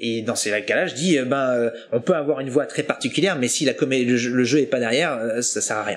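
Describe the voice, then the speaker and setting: A man speaks at a fairly quick pace with hardly any pauses, his medium-pitched voice showing ordinary pitch variation over noticeable background noise. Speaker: voice actor. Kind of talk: interview. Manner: hesitant.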